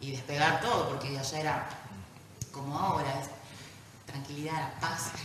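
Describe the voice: Audible room echo surrounds a woman speaking at a moderate pace. Her voice is low in pitch and fairly bright, with ordinary pitch variation.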